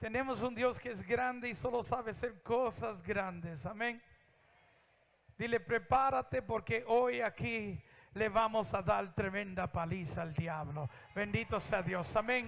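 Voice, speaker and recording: Pitch varies in an ordinary way as the words unfold fairly slowly. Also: man, high pitch for a man. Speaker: preacher. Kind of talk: sermon.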